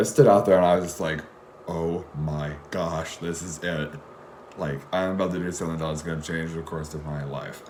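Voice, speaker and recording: Audible room echo surrounds a man's very deep, low voice, delivered in a monotone, flat way at a moderate pace with big swings in loudness. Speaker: vlogger telling travel story. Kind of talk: casual personal storytelling monologue. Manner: halting, many restarts and fillers.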